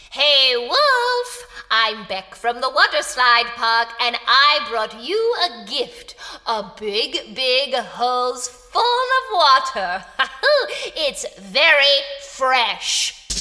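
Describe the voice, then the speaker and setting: At a very slow pace, a woman talks in a high pitch with lively intonation. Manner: cheerful, kindly.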